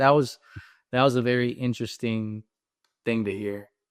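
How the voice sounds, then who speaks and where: A man with a North Carolina accent, medium in pitch, at a moderate pace against a quiet background. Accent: American, North Carolina. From US South, North Carolina. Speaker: comedy influencer. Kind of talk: casual interview chat.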